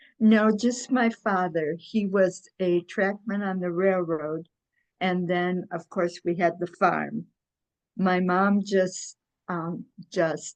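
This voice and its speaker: A woman talks with a Midwestern US accent. Her pace is very slow and her intonation fairly even. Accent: US Midwest. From Michigan, US Midwest. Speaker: retired x-ray technician. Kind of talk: oral history interview. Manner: hesitant, many fillers.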